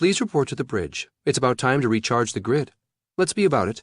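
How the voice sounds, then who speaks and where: A put-on character voice delivered at a fairly quick pace. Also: man, medium pitch for a man. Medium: read story. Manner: even, polite, never commanding.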